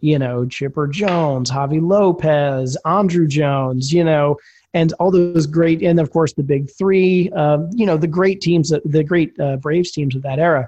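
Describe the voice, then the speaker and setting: Speaking fairly slowly with an American accent, a man has a fairly high pitch, ordinary pitch variation and a dark, mellow tone. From Philadelphia. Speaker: baseball writer and podcaster. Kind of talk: casual chat.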